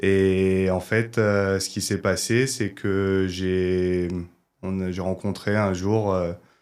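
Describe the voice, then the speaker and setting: A man speaks at a very slow pace in a very deep, low pitch with monotone, flat intonation. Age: 20s. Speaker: rugby video analyst. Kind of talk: podcast interview. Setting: studio. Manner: hesitant, many fillers.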